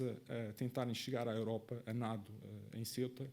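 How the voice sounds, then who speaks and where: A man speaks at a moderate pace in a Madeiran accent. His tone is dark and mellow. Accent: Madeiran Portuguese, noticeable. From Madeira, Portugal. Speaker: conference speaker, researcher. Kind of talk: conference presentation. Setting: conference stage with live audience. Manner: hesitant, many filler sounds.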